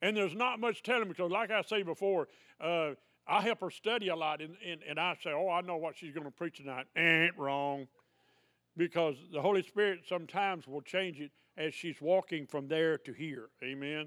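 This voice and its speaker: Moderate pace and ordinary pitch variation from a man with a high pitch and a Southern US accent. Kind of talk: sermon. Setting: church. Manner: animated.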